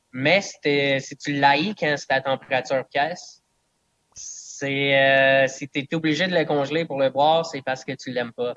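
A man speaks at a fairly slow pace in an ordinary speaking voice, his fairly high pitch held in fairly even intonation, with a dry, close sound and no echo. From southern Quebec (Eastern Townships, Bedford area). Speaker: distiller. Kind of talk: casual interview.

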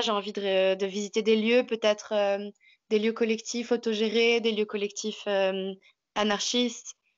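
Flat, monotone intonation marks this fairly slow delivery. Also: woman. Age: 20s. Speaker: teacher. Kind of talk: interview. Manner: halting.

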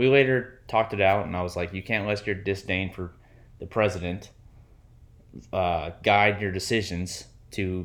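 Recorded very cleanly against a silent background, a man has an unremarkable speaking voice with a fairly low pitch and ordinary pitch variation. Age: 30s. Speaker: podcast co-host. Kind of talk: casual chat.

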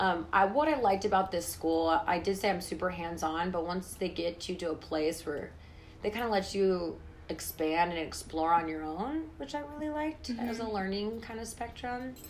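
Speaking at a moderate pace, a woman with an American accent uses lively intonation at a medium pitch. Audible room echo and music in the background accompany her. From San Francisco Bay Area, US. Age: 20s. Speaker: oil painter. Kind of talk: casual interview. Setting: in person in her studio.

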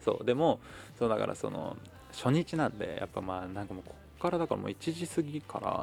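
A man is mumbling. His pace is fairly quick. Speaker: podcaster and performer. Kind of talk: solo diary monologue. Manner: fast.

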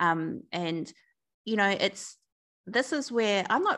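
Against a quiet background, a woman speaks with a New Zealand accent. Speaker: breakup recovery coach and founder. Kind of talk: interview conversation.

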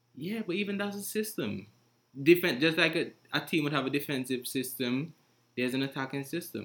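A normal speaking voice from a man, fairly high in pitch, fairly quick and with lively intonation, on a very clean recording with a silent background. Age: young. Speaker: podcast host. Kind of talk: casual discussion.

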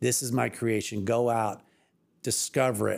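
In a normal speaking voice, a man with an American accent talks at a moderate pace, his medium pitch held in fairly even intonation. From Evansville, Indiana, US Midwest. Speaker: water utility executive director. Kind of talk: casual interview.

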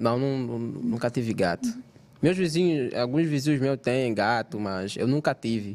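A man with an Angolan accent speaks with lively intonation. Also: medium pitch for a man, fairly slow pace. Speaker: content creator. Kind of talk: casual chat.

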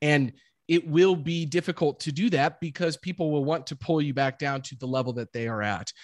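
A very clean, silent-background recording of a fairly quick American accent with ordinary pitch variation and a dry, close sound with no echo. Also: man, fairly high pitch for a man. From US Midwest, Jefferson City, Missouri. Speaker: real estate investor, former football player. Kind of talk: interview.

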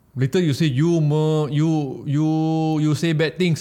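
A man with a Malaysian accent speaks at a fairly slow pace in a fairly high voice with a dark, mellow tone. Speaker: podcast co-host. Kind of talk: casual chat.

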